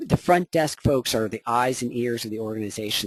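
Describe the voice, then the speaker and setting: Fairly quick, medium-pitched speech from a man, with ordinary pitch variation and a dry, close sound without echo. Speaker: workplace violence prevention consultant. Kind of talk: webinar presentation. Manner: fast; hesitant fillers.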